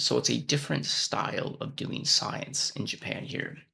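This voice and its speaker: A man with an American accent. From United States. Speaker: vlogger and research scientist. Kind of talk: casual vlog monologue.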